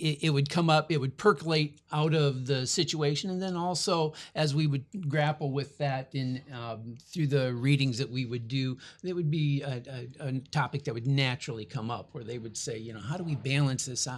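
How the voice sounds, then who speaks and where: A man with a fairly high pitch and a somewhat breathy voice speaks at a moderate pace. His pitch variation is ordinary, and the recording is very clean with a silent background. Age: 60s. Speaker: family studies professor. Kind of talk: interview.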